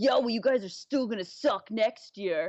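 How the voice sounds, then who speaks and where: Put-on character voice at a fairly high pitch and moderate pace. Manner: taunting, dismissive.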